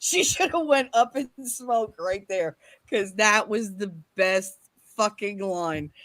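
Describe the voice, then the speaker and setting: A woman speaks at medium pitch with an American accent. Her intonation is lively, and her pace is very slow. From Kansas. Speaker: podcast host. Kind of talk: casual chat.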